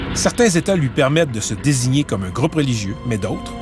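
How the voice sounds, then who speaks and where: Backed by music, a man speaks at a moderate pace with a fairly high pitch that swings very widely. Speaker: TV reporter. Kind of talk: TV documentary narration.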